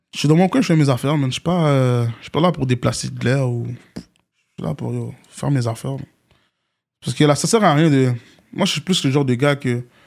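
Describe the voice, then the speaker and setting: Using a normal speaking voice, a man talks at a fairly quick pace. His pitch is fairly high, with ordinary pitch variation. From Montréal, Quebec. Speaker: rapper. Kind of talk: casual interview.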